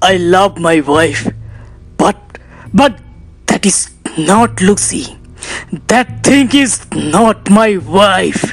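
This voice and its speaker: In a put-on character voice, a man talks very slowly at a high pitch, leaving long, frequent pauses. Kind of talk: acted dialogue. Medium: short film. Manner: agitated, pleading, repetitive.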